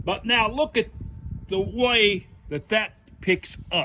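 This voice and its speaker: A man speaks in a raised, projected voice at a high pitch. His pace is very slow. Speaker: DIY video host. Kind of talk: tutorial.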